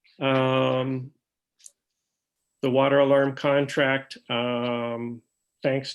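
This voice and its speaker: The speaker is a man talking at a very slow pace. His intonation is monotone and flat. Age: 60s. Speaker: town supervisor chairing a board meeting. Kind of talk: public meeting business. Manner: hesitant, many fillers.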